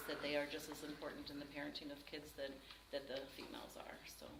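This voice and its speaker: Through noticeable background noise and audible room echo, a woman talks at a fairly quick pace. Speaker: nonprofit executive director. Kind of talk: presentation with Q&A to a grant panel. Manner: fast; many fillers (um, uh).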